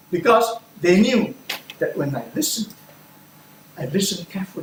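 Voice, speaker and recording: A man's high-pitched voice against noticeable background noise. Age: 70s. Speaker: speech contestant. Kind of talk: speech.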